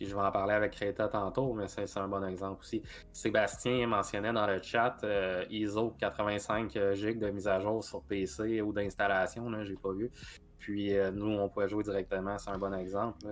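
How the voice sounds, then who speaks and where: With music in the background, a man with a Quebec accent speaks in a monotone, flat intonation at a fairly slow pace. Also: fairly low pitch for a man. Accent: Québécois French. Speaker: gaming podcast co-host and game reviewer. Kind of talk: casual chat. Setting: live stream.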